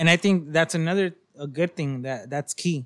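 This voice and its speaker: A man with an American accent speaks at a fairly high pitch in a normal speaking voice. His pitch varies in an ordinary way on a very clean recording with a silent background. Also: dry, close sound with no echo. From Long Beach, California. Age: 20s. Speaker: band manager and former DJ. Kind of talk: casual chat.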